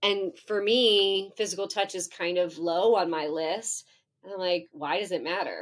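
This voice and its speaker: In a very clean recording with a silent background, a woman with a plain, everyday voice speaks at a fairly slow pace and medium pitch. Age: 40s. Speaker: professor. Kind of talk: interview.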